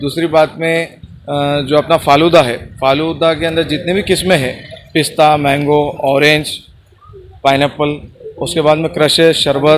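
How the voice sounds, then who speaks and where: Noticeable background noise sits behind a man whose fairly high voice stays monotone and flat. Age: 20s. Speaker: shop owner. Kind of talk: promotional interview.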